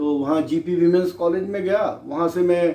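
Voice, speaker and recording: This man's high-pitched voice has a dark, mellow tone. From Rajasthan, India (Kota district). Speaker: retired English professor and poet. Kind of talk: interview. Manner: halting, with fillers.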